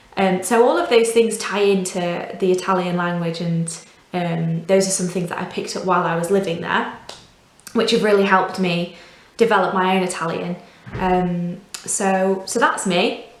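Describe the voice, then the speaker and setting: A woman speaks at a moderate pace in a Yorkshire accent, her intonation fairly even. Noticeable background noise and audible room echo are present. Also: medium pitch for a woman. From northern England, Doncaster. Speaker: volunteer language teacher. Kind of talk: tutorial.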